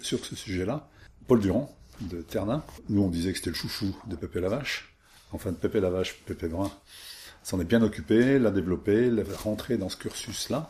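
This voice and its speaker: A man speaks at a moderate pace in a fairly low, dark and mellow voice that is somewhat breathy, with ordinary pitch variation and long, frequent pauses, on a very clean recording with a silent background. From France, Isère. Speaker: villager recalling childhood. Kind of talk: oral history interview.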